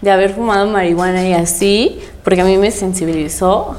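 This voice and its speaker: Audible room echo surrounds a woman's voice. Behind her there is noticeable background noise. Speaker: content creator and university student. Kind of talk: casual chat.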